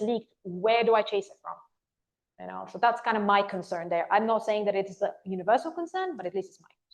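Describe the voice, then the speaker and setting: Someone with an American accent talks at a very fast pace with ordinary pitch variation. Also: woman. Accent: shifted accent, once sounded Californian. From Bulgaria. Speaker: conference speaker, recruiter. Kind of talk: audience Q&A. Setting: meetup stage with audience.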